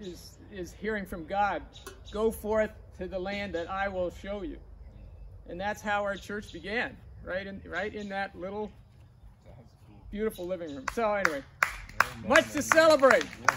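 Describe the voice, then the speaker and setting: A man with a high pitch and a bright, sharp tone speaks at a moderate pace with ordinary pitch variation, big swings in loudness and long, frequent pauses, over light background noise. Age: 60s. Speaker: preacher. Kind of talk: sermon. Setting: outdoors. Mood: warm, celebratory. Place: garden.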